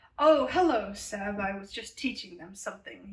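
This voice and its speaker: A woman's put-on character voice, medium in pitch, with lively intonation at a moderate pace. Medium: read story. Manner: sneering, contemptuous.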